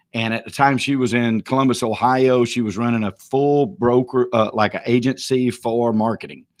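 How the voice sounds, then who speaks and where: He speaks with a Georgia accent at a medium pitch and a moderate pace. This man's intonation stays fairly even, with hardly any pauses. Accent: Southern US, Georgia. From US South, small town north of Atlanta, Georgia. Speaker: real estate auctioneer and broker. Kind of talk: live stream tribute speech.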